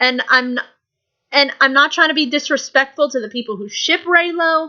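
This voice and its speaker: In a raised, projected voice, a woman speaks with a bright, sharp tone, high pitch and lively intonation. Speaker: YouTube vlogger. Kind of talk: casual vlog monologue. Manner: animated; loud.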